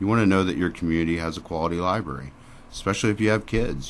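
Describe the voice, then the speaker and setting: This man speaks at a fairly quick pace with ordinary pitch variation. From Springfield, Missouri. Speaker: library director. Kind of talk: radio interview. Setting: radio studio. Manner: loud.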